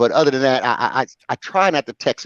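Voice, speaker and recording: Very fast and animated, a man speaks at a medium pitch. His delivery stays quick throughout. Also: dry, close sound with no echo. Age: 60s. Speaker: truck driver, show panelist. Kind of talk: casual chat. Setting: call-in to live stream with headset.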